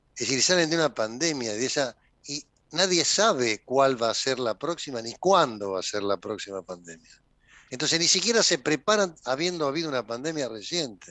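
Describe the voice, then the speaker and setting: Against a quiet background, a man with a bright, sharp tone and medium pitch swings his pitch very widely at a moderate pace, the sound dry and close with no echo. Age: 70s. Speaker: politician. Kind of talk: interview.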